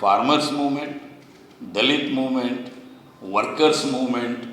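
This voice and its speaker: Through audible room echo and noticeable background noise, a man with a Kannada accent talks in a fairly high pitch. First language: Kannada (speaking Hindi). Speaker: activist. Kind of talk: public speech. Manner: halting, mixing in English.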